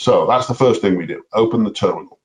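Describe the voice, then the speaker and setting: A man with a dark, mellow tone. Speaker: software presenter. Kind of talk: tutorial. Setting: webinar. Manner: fast.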